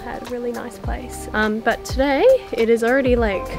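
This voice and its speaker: A woman's voice over clear music in the background. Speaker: travel vlogger. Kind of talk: casual vlog chat. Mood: relaxed, cheerful. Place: home room. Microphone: phone near.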